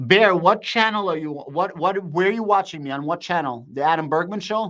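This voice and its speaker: Someone is shouting loud and fast in a bright, sharp tone with ordinary pitch variation. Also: man, high pitch for a man. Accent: American. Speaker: crypto and stock market streamer. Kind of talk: live stream commentary and chat reading. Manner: loud, shouting; animated.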